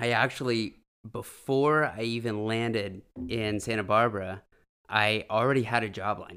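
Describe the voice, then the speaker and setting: In an American accent, a man talks at medium pitch with a bright, sharp tone and fairly even intonation on a very clean recording with a silent background. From California, San Francisco Bay Area. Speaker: salesman. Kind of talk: casual chat.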